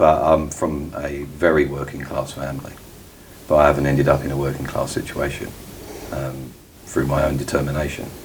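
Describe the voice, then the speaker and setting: A man with a Cockney accent speaks in a very deep, low voice at a fairly quick pace, in a flat monotone. Audible room echo and noticeable background noise are present. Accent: Cockney London. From East London (Cockney). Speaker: interviewee, former elite insider. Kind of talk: interview. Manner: halting, many ums.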